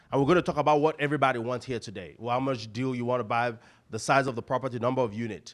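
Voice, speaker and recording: A man with a Nigerian accent talks very fast in an animated tone, recorded very cleanly against a silent background. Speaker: real estate investor and coach. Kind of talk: seminar presentation. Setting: stage with audience.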